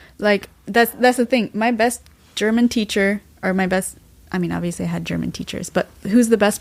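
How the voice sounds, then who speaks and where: Talking at a fairly quick pace, a woman with an American accent and a plain, everyday voice keeps her intonation fairly even. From US, Washington DC area. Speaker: graduate student. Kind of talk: casual chat.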